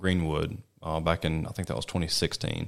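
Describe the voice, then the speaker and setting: With a Mississippi accent, the speaker moves at a moderate pace in a monotone, flat delivery. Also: man. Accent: US Southern (Mississippi). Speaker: wildlife biologist. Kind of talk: interview. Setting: studio.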